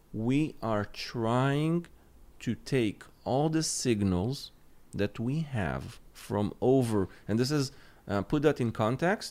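A man's normal speaking voice at medium pitch with ordinary pitch variation, on a very clean recording with a silent background. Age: 30s. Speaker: cybersecurity lead at a tech company. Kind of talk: technical podcast interview.

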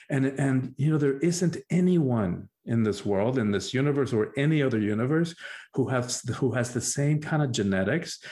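In a Spanish accent, a man with a dark, mellow tone speaks at medium pitch with ordinary pitch variation, on a very clean recording with a silent background. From Cuba. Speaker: spiritual teacher and life coach. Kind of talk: interview conversation.

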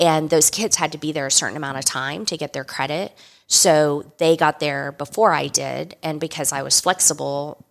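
A woman's very deep, low voice with vocal fry, fairly even intonation and a moderate pace. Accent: American. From South Texas. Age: 50s. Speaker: winery co-owner and winemaker. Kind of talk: interview.

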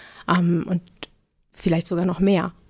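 A woman talks at a fairly quick pace with vocal fry. Her pitch is fairly low. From northern Germany, Cuxhaven. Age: 40s. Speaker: pediatric nurse and first-aid trainer. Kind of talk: casual interview.

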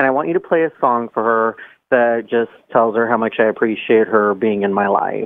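At a moderate pace and medium pitch, a man talks with fairly even intonation and very even loudness in an ordinary speaking voice. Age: 20s. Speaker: caller. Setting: phone call.

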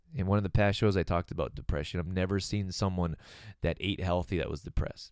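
A man talking at a very fast pace in a dark, mellow tone, on a very clean recording with a silent background. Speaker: wellness podcast host and author. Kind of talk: solo podcast monologue. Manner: casual, with laughs.

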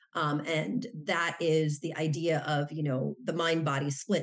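A woman's very deep, low pitch with ordinary pitch variation, over noticeable background noise. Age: 50s. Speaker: professor and author. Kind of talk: interview.

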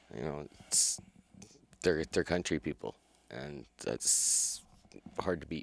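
With vocal fry and ordinary pitch variation, the voice moves at a very slow pace broken by long, frequent pauses, in a dry, close sound with no echo. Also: man, very deep, low pitch for a man. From Calgary, Alberta, Canada. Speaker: fur shop co-owner and hunter. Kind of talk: casual interview.

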